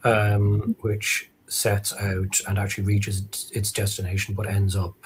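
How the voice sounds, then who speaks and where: In an Irish accent, a man speaks fairly slowly at a fairly low pitch. His intonation is flat and monotone. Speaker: author. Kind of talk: live interview. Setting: live stream.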